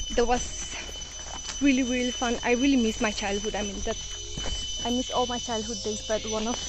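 A woman speaks in a dry space with no echo while loud noise fills the background. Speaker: vlogger. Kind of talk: casual vlog chat. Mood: wistful, nostalgic. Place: forest. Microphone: phone near.

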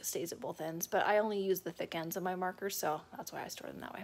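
The woman talks at a moderate pace with fairly even intonation. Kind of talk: casual vlog tour. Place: home room. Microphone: phone near.

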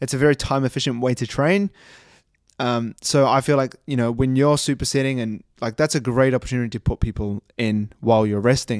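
The man speaks at a fairly quick pace with ordinary pitch variation. The sound is dry with no echo, and the background is quiet. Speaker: fitness coach. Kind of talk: casual podcast commentary. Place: home room. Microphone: studio mic.

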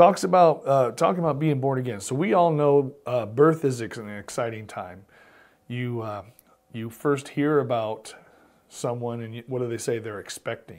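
Against a quiet background, a man talks at a moderate pace with big swings in loudness. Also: ordinary pitch variation. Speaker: pastor teaching Bible study. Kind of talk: Bible study teaching. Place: studio. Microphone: lapel.

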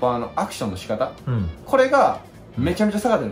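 A man's voice with faint music in the background. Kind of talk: tutorial explanation to another person. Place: garage.

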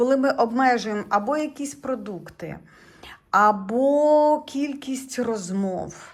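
Lively intonation marks this woman's high-pitched voice. She speaks at a very slow pace. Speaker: tarot reader and video blogger. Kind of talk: tarot reading tutorial monologue. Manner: conversational, jumps between thoughts.

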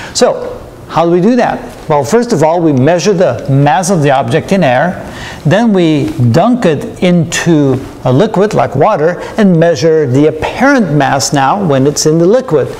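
A man speaks at a moderate pace, his intonation lively. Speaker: physics lecturer. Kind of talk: lecture. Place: studio.

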